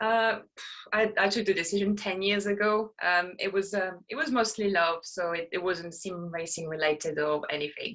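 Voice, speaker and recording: A woman speaks with a French accent at a moderate pace, her medium pitch showing ordinary variation. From France. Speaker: sim racer and streamer. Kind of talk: casual interview. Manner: halting.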